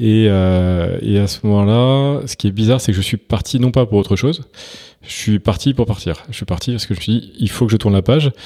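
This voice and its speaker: On a very clean recording with a silent background, a man speaks with a fairly low pitch. His tone is dark and mellow, with ordinary pitch variation. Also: fairly quick pace. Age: 40s. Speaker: entrepreneur, startup co-founder. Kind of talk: interview. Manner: hesitant, frequent fillers.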